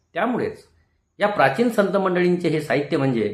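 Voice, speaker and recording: A man talks with lively intonation. Vocal fry runs through his voice. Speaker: retired teacher. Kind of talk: motivational talk. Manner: formal.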